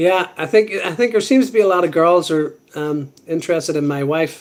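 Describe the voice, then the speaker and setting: Speaking at a moderate pace, the man has a high-pitched voice. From Ireland. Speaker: live streamer. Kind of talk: casual chat.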